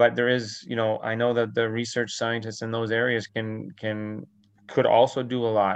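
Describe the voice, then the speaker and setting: A man with a normal speaking voice, medium-pitched, at a moderate pace. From New Brunswick, Canada. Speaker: veterinarian and dairy farmer. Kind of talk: interview.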